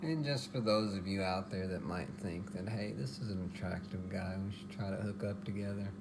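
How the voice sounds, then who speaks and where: A man with an American accent and a fairly low pitch talks at a moderate pace with ordinary pitch variation and hardly any pauses, with audible room echo. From Texas. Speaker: home cooking vlogger. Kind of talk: casual cooking tutorial.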